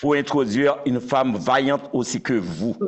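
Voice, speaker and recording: A man with a Haitian accent speaks at a very slow pace in a fairly high pitch, with vocal fry. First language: Haitian Creole (speaking French). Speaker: interviewer. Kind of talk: interview.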